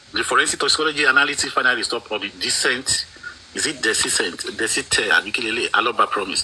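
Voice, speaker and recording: A man speaks at a fairly quick pace with a Nigerian accent. There is noticeable background noise. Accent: Nigerian (Yoruba) English. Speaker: panelist. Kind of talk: heated debate. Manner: animated; halting.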